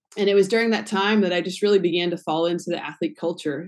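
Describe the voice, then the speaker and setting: A woman with an American accent has a normal speaking voice and a fairly low pitch. Her intonation is fairly even, and the background is quiet. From Connecticut. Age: 30s. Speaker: nonprofit founder and former athlete. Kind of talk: radio interview.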